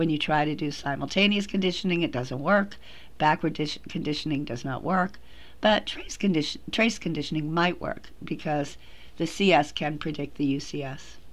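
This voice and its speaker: Audible room echo surrounds a woman with a very deep, low pitch who talks at a moderate pace with ordinary pitch variation. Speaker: psychology professor. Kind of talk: lecture. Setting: recorded lecture audio track over slides.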